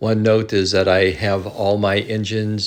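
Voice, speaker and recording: A man speaks at a fairly slow pace. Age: 70s. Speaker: model train hobbyist. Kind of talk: narrated video tour. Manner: halting, many fillers.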